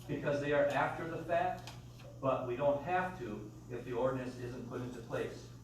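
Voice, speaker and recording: The man's fairly high voice moves at a moderate speed with ordinary pitch variation, set against noticeable background noise and audible room echo. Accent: American. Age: 60s. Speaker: public commenter at county meeting. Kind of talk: public comment speech.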